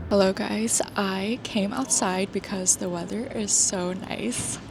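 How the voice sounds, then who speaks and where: A woman speaks at a medium pitch with ordinary pitch variation. Her pace is very slow, and there is noticeable background noise. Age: 20s. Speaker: corporate worker and part-time MBA student. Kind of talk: vlog talk to camera and voiceover.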